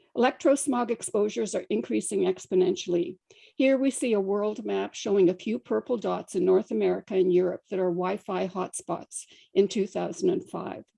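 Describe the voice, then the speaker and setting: A woman's medium-pitched voice with vocal fry, a dark, mellow tone and ordinary pitch variation, in a dry, close sound with no echo. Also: moderate pace. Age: 70s. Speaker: scientist presenting to a government council. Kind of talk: slide presentation. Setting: council meeting. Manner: formal.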